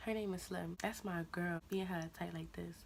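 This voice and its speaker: Speaking quietly, a woman talks at a moderate pace. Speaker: YouTuber. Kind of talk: storytime vlog. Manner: quiet, low voice; casual, slangy.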